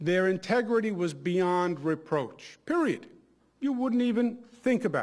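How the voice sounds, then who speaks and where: Fairly slow speech from a man, the background quiet. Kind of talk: ceremonial speech. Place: hall. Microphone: podium.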